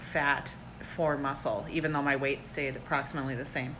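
A woman speaks in a bright, sharp tone. Her voice carries an audible room echo. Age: 30s. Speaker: amateur runner and bodybuilding competitor. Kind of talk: casual chat.

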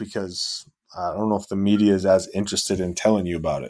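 Heard on a very clean recording with a silent background, a man speaks in a normal speaking voice, fairly low in pitch, with fairly even intonation. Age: 30s. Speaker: real estate investor. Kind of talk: casual chat.

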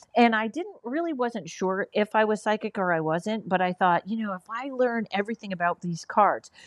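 Speaking in an ordinary speaking voice, a woman talks at a fairly quick pace and a fairly high pitch with ordinary pitch variation and hardly any pauses, in a dry, close sound with no echo. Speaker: comedian and paranormal investigator. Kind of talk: casual interview chat.

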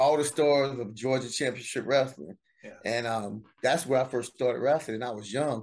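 A man with a Southern US accent speaks at a moderate pace and medium pitch, his intonation fairly even and his loudness swinging widely, over a quiet background. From US South, South Carolina. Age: 50s. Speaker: wrestling memorabilia collector. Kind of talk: casual interview.

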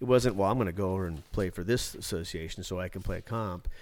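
A man speaking at a very fast pace with ordinary pitch variation, on a very clean recording with a silent background. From Alaska, Anchorage area. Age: 50s. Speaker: podcast host, hockey coach. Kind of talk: casual chat. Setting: studio.

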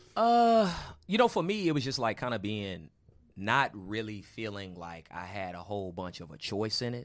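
A man with an American accent speaks in a plain, everyday voice at a moderate pace, with fairly low pitch, lively intonation and big swings in loudness, in a very clean recording with a silent background. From Houston, Texas. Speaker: comedian. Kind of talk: casual chat.

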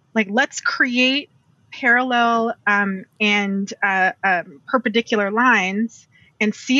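A woman speaks with fairly even intonation at a fairly high pitch. She has an ordinary speaking voice. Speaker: quilter. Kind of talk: casual interview.

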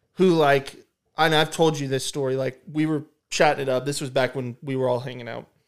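A man with a plain, everyday voice, fairly high pitch, fairly even intonation and a fairly quick pace, on a very clean recording with a silent background. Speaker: returning guest. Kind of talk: casual chat.

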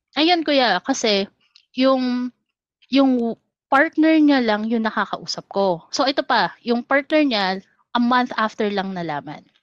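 A woman's high voice at a fairly slow pace. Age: 30s. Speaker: caller. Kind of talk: casual chat.

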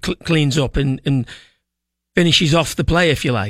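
On a very clean recording with a silent background, a man speaks at a fairly quick pace in a dry, close sound with no echo. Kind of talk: coach's tactical breakdown in a radio interview, explaining how a goal was conceded. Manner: measured, explanatory, halting with restarts as he reasons it through.

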